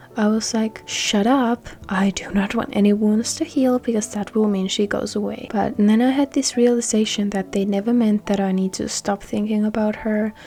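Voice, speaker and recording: A woman's fairly even delivery in a non-native accent, with noticeable background noise. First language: not English. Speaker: gaming YouTuber. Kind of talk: casual talk over gameplay. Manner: earnest, emotional.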